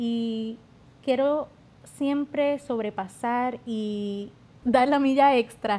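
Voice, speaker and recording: Using ordinary pitch variation, a woman speaks in a fairly high voice with a dark, mellow tone. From Puerto Rico, Yauco. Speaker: beauty pageant contestant. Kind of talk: casual interview.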